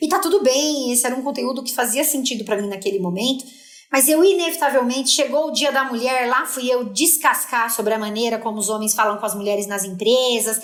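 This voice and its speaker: A woman with a high voice speaks at a fairly quick pace with ordinary pitch variation, and some room echo can be heard. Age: 40s. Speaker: linguist and content creator. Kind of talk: podcast interview. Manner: animated.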